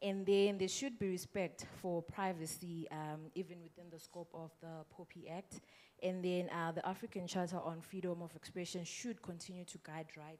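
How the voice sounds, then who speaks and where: A woman's fairly low-pitched voice at a moderate pace, fairly even in intonation, with big swings in loudness and hardly any pauses. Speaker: panelist. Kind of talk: panel discussion.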